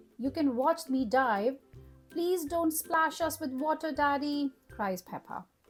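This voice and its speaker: Over music in the background, a woman with a high voice speaks at a very slow pace with ordinary pitch variation. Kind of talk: children's read-aloud story. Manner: cheerful.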